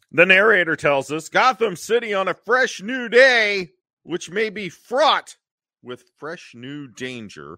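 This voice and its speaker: In a raised, projected voice, a man speaks very slowly at a high pitch, bright and sharp in tone, with very wide pitch swings and big swings in loudness, on a very clean, dry, close recording with no echo and a silent background. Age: 50s. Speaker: podcast co-host, wrestling website writer. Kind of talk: casual chat.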